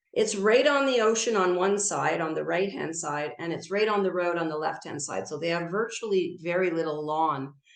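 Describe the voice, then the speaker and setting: Over noticeable background noise, a woman with a fairly low pitch speaks at a moderate pace with lively intonation and hardly any pauses. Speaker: garden speaker. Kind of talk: illustrated talk.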